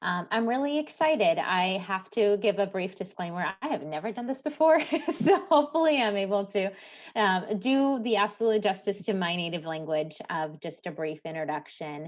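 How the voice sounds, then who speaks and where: A woman with a slight Midwestern US accent speaks at a moderate pace and medium pitch, her pitch swinging very widely. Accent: very light, Midwest-sounding. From Latvia, Cēsis. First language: Latvian. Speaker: nonprofit manager, language presenter. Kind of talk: presentation. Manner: hesitant, many fillers.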